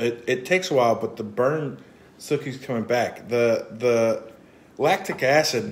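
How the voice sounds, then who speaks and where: There is light background noise as a man speaks at a fairly slow pace with ordinary pitch variation. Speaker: vlogger doing a hot pepper challenge. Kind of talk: casual vlog chat. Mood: in pain from spice. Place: home room. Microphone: phone near.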